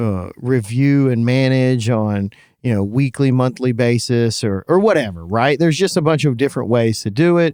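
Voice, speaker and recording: A man with a medium-pitched, dark, mellow voice speaks at a moderate pace with lively intonation, hardly any pauses and very even loudness. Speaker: podcast co-host. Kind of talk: casual chat. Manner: halting, many fillers.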